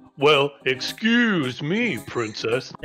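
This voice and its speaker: A man puts on a character voice. It is fairly high in pitch. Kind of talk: sarcastic, mocking. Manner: cartoonish, exaggerated.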